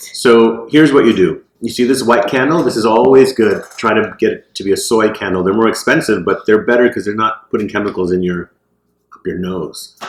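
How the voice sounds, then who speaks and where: The speaker is a man at medium pitch. He goes at a fairly quick pace with ordinary pitch variation. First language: Hindi. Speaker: psychic medium. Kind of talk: casual chat.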